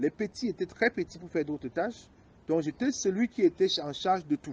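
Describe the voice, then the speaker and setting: A man speaks high in pitch with lively intonation at a fairly quick pace. The sound is dry and close, with no echo. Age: 40s. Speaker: biomedical engineer. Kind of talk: interview. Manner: halting.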